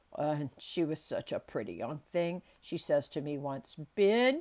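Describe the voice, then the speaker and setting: A gruff, put-on character voice at a middle pitch and a fairly slow pace. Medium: read story. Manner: dry, gruff.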